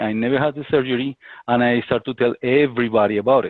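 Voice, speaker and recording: This man talks in a Spanish accent at a moderate pace. His pitch is medium and his intonation fairly even. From Colombia. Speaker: business associate. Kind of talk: interview. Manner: halting.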